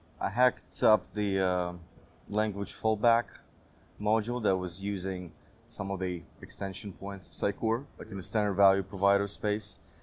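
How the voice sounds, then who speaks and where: Flat, monotone delivery at a moderate speed. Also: man, fairly low pitch for a man. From eastern Ukraine, Dnipro. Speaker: software engineer. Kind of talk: interview.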